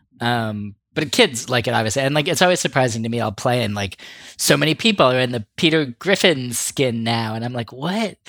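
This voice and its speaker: Using a plain, everyday voice at medium pitch, a man talks at a fairly quick pace with lively intonation. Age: 40s. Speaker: podcast co-host. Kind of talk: casual chat.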